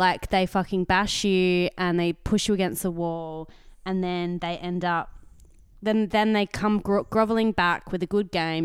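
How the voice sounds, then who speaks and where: A woman with an Australian accent and a fairly low pitch, fairly even intonation, in a very clean recording with a silent background. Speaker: podcast co-host. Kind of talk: casual chat.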